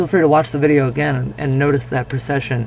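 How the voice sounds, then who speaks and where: Fairly quick pace against noticeable background noise. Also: man. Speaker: science instructor. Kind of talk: lecture demonstration. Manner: hesitant, casual.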